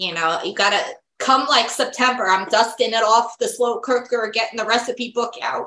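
A woman speaks in an ordinary speaking voice at a moderate pace. Her pitch is fairly high, and her intonation is fairly even. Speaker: psychic medium and podcast host. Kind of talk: interview on a podcast, casual and friendly.

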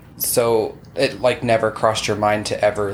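A man with an American accent speaks in a fairly low pitch with monotone, flat intonation. Noticeable background noise runs underneath. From Utah. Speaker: podcast host. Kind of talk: casual chat.

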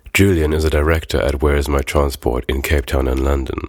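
A man's very deep, low voice at a fairly quick pace, with fairly even intonation and noticeable background noise. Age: 20s. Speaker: podcast host. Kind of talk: scripted narration.

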